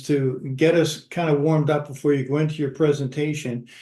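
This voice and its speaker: The man's voice is fairly high in pitch and somewhat breathy. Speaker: webinar host.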